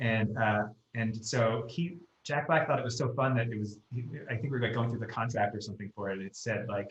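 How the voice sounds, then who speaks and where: Somewhat breathy, a man talks with an American accent. His pace is fairly quick. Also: medium pitch for a man, ordinary pitch variation. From US Northeast, Long Island NY. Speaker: screenwriter. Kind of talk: casual podcast chat.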